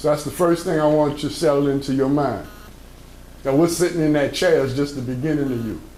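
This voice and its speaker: A man's fairly high voice at a fairly quick pace, broken by long, frequent pauses, with audible room echo. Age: 60s. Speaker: motivational speaker. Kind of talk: motivational talk to young people. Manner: animated.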